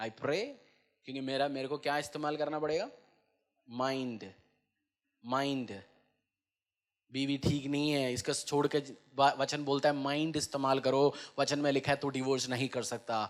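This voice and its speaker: This man's voice sits at a fairly high pitch, and his intonation stays fairly even. He leaves long, frequent pauses. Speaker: pastor. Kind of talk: church sermon preaching to congregation.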